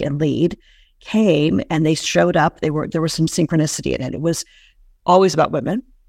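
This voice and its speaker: A woman's very deep, low voice with vocal fry and ordinary pitch variation, at a fairly quick pace, in a very clean recording with a silent background and a dry, close sound with no echo. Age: 50s. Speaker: entrepreneur and women's business coach. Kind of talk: interview.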